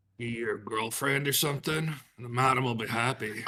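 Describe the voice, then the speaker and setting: Using a put-on character voice, a man sounds raspy, talking at a moderate pace with a medium pitch and fairly even intonation. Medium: actual play. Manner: gruff, blunt, ungrammatical.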